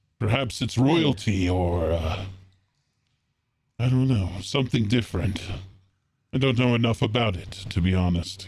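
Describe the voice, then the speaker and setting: This man puts on a character voice at a moderate pace with long, frequent pauses. His pitch sits in the medium range, with ordinary variation. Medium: actual play.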